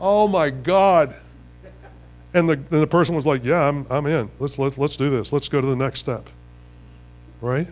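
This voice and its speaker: A man speaks in an animated tone, his pitch fairly high with ordinary variation. He keeps a moderate pace, broken by long, frequent pauses. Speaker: business team leader. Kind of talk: seminar talk. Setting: stage with audience.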